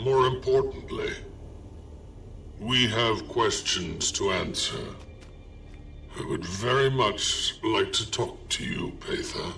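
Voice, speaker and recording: Using a put-on character voice, a man talks at a fairly slow pace with long, frequent pauses while clear music plays in the background. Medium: video game. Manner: dry, reserved.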